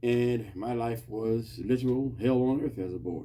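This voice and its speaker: Audible room echo surrounds a man whose dark, mellow tone is somewhat breathy. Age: 60s. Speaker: podcast host giving Bible talk. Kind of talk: informal Bible teaching monologue. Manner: repetitive, emphatic.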